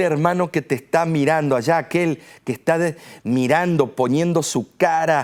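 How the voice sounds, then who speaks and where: This man's voice sits at a fairly high pitch, captured in a very clean recording over a silent background. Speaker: pastor. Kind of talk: sermon. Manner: forceful.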